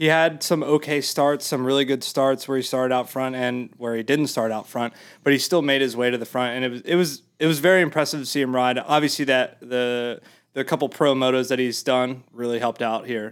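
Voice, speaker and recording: A man with an American accent and an ordinary speaking voice, medium pitch, ordinary pitch variation, and a fairly quick pace with hardly any pauses. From US Mid-Atlantic. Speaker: videographer. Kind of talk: casual chat.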